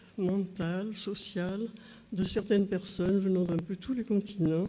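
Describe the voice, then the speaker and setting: The woman sounds somewhat breathy, with a dark, mellow tone and fairly even intonation. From southwest France. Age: 80s+. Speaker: physician, trial witness. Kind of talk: court testimony. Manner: hesitant, with frequent fillers.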